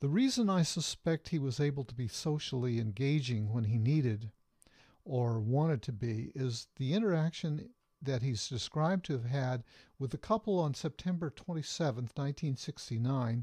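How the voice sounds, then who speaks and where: A man speaks at a moderate pace with lively intonation and a fairly high pitch, his tone dark, mellow and somewhat breathy. The sound is dry and close with no echo against a quiet background. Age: 60s. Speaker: psychologist and author. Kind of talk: reading aloud from own book. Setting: webcam video at home.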